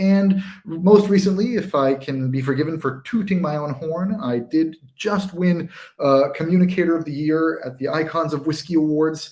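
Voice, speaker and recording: With an American accent, a man speaks in an unremarkable speaking voice with ordinary pitch variation. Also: fairly high pitch for a man, moderate pace. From United States. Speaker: whisky writer and tasting host. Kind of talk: livestream charity tasting intro. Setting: livestream.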